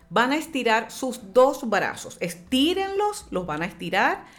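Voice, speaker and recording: A woman speaks in an animated tone. Her pace is fairly slow. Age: 50s. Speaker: brain gym trainer and speaker. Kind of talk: radio interview; guided exercise instruction.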